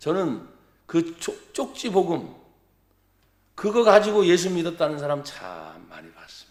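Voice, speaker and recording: Speaking at a fairly slow pace with long, frequent pauses, a man with a high voice shows ordinary pitch variation and big swings in loudness, with audible room echo. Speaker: pastor. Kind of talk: sermon. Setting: church. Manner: animated.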